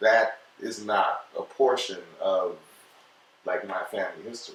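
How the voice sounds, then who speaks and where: A man speaks at a fairly slow pace in an American accent, with big swings in loudness. Noticeable background noise sits behind him. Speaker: podcast guest. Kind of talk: casual chat.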